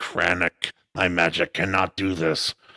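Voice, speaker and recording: Putting on a character voice, a man speaks in a raspy, very deep, low register at a fairly slow pace. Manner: gruff, dismissive.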